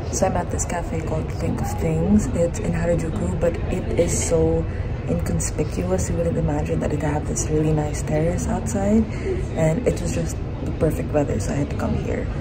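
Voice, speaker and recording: Loud background noise fills the clip. Over it, a woman speaks at a moderate pace. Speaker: vlogger. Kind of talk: casual vlog chat. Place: cafe. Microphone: phone near.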